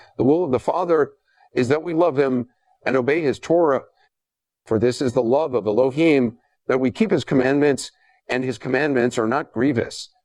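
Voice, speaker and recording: Against a quiet background, a man at medium pitch talks at a moderate pace with ordinary pitch variation and long, frequent pauses. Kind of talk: dramatized religious commentary voice-over.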